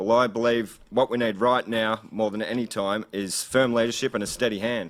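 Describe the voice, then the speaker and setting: Here is a man with an Australian accent. He speaks at a fairly quick pace and a medium pitch. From Gippsland, Victoria, Australia. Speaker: political candidate. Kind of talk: campaign speech. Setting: event hall with live audience and stream. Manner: fast.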